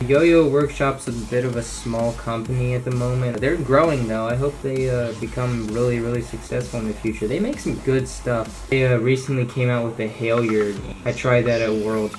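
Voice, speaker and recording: A man talks with fairly even intonation. Noticeable background noise and audible room echo are present. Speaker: yo-yo hobbyist youtuber. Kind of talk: casual show-and-tell video. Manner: casual, with fillers.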